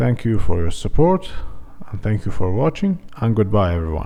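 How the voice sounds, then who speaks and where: At a moderate pace, a man with a fairly low pitch speaks with very wide pitch swings. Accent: non-native. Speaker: tech tutorial youtuber. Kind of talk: tutorial.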